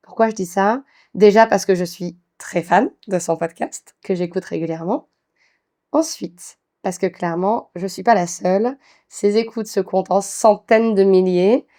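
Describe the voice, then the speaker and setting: Speaking at a fairly slow pace, a woman with a medium pitch, ordinary pitch variation and a dark, mellow tone is captured in a dry, close sound with no echo. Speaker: podcast host, intercultural diversity speaker. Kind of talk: podcast interview.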